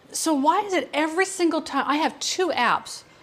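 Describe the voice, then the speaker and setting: This voice belongs to a woman. Her accent is American. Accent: sounds American. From Ireland (Wicklow). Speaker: cooking show host. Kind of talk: cooking tutorial with live quiz. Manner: casual, chatty.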